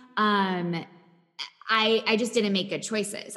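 This woman has a normal speaking voice. She talks at a moderate pace with fairly even intonation. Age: 20s. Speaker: mental health coach. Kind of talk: interview.

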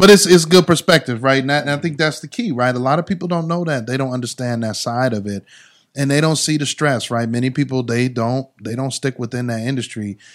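An unremarkable speaking voice from a man with an American accent, medium in pitch, with ordinary pitch variation and a fairly quick pace, very cleanly recorded against a silent background. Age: 40s. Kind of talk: casual interview chat.

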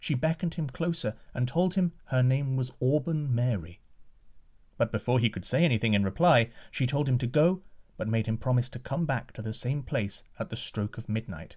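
Recorded very cleanly against a silent background, a man speaks at a medium pitch in a somewhat breathy voice with lively intonation. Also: moderate pace. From Scotland. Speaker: storytelling podcast host. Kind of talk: storytelling narration.

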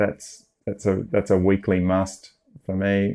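Speaking with an Australian accent, a man has a fairly low pitch and a dark, mellow tone against a quiet background. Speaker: film music producer. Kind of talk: casual interview. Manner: halting, many repetitions.

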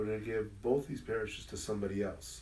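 Speaking very fast with an American accent, a man with a fairly low pitch and vocal fry uses ordinary pitch variation in a room with audible echo. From Southern California, Inland Empire. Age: 50s. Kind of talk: casual interview conversation. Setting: parish, in-person with small audience.

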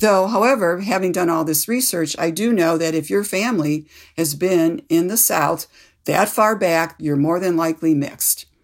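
A woman with an American accent uses a normal speaking voice, fairly low in pitch with ordinary variation, in a very clean recording with a silent background. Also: moderate pace. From US Midwest (Cleveland, Ohio). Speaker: author. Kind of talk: interview. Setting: studio.

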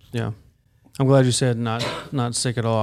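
A man with a Southern US accent at a fairly quick pace, in a monotone, flat intonation. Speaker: podcast host. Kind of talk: interview. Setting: studio.

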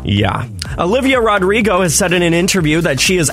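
A man's upbeat, fairly quick voice with very wide pitch swings over noticeable background noise. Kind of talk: radio co-host banter, quick back-and-forth chat on a morning show. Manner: upbeat, chatty, good-humoured, laughing along.

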